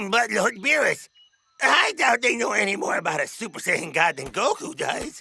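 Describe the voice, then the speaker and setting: A cartoonish character voice, fairly high in pitch. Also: moderate pace. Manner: flustered, stammering.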